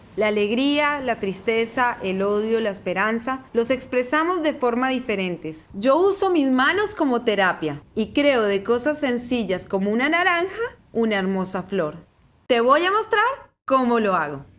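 Very wide pitch swings at a fairly slow pace over noticeable background noise. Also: woman, fairly high pitch for a woman. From Colombia. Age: 20s. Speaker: craft presenter. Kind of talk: tutorial; personal introduction.

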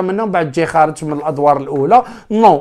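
A man with an Algerian accent at a fairly quick pace, with ordinary pitch variation, in a quiet background. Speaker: sports YouTuber. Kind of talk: solo commentary vlog. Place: home room. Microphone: lapel.

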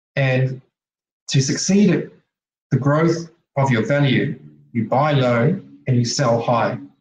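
A somewhat breathy man at a very slow pace, with long, frequent pauses, very even loudness, audible room echo and light background noise. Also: medium pitch for a man, ordinary pitch variation. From Australia or New Zealand. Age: 40s. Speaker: technology advisor and presenter. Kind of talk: online conference presentation. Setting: video call. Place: home room. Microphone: webcam.

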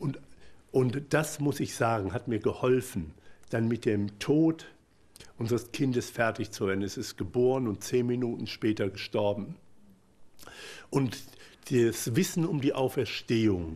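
Speaking fairly slowly with long, frequent pauses, a man uses a medium pitch and lively intonation. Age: 50s. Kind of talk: personal testimony talk. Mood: emotional, earnest. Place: hall.

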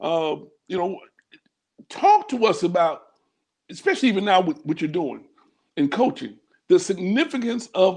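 Over a quiet background, a man with a high pitch talks at a moderate pace with lively intonation. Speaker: bishop and church leader; bishop. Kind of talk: online church teaching broadcast. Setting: livestream video call. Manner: warm, pastoral. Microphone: earbuds.

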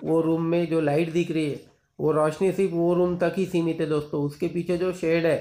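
Over light background noise, a man speaks fairly slowly in a monotone, flat intonation. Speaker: poultry farmer vlogger. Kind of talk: tutorial commentary. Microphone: phone near.

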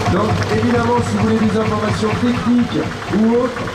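There is loud background noise as a man speaks. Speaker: parade announcer. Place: street. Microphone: pa.

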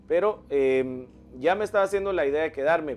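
Light background noise behind a man, his pitch varying in an ordinary way. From Guatemala. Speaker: pastor and worship singer. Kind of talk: religious interview. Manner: halting, hesitant. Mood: calm, earnest, religious. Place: studio.

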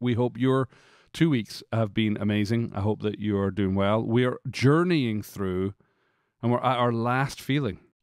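A man with an American accent at a fairly slow pace, ordinary pitch variation, a dry sound with no echo and a quiet background. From Scotland. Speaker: podcast co-host. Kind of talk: casual chat. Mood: warm, upbeat. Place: studio. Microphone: studio mic.

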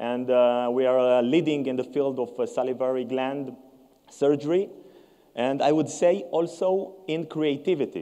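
Over a quiet background, a man talks at a fairly slow pace in a dark, mellow tone with ordinary pitch variation. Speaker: presenter. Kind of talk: conference presentation. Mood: cheerful, proud. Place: stage. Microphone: lapel.

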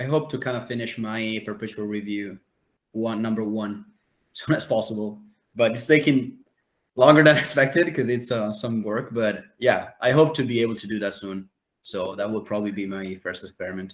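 A man at a fairly quick pace, with big swings in loudness and ordinary pitch variation. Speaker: hub editor and researcher. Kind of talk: online community meeting. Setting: video call. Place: home room.

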